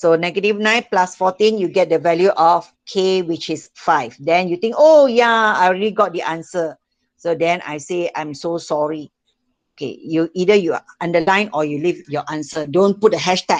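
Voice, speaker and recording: In a Malaysian accent, a woman talks at a fairly low pitch with ordinary pitch variation. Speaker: school math teacher. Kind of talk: online class lesson. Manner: slow, repetitive.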